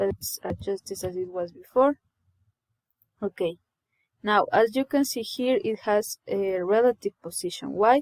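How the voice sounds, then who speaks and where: A woman with a non-native accent at a medium pitch and a fairly slow pace, ordinary pitch variation and long, frequent pauses, in a dry, close sound with no echo. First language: not English. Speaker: coding tutorial creator. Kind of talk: tutorial. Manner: halting.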